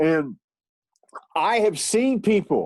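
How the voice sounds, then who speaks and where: The sound is dry and close with no echo as a man speaks in a high pitch with ordinary pitch variation. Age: 50s. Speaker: musician and nutrition coach. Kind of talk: casual interview chat.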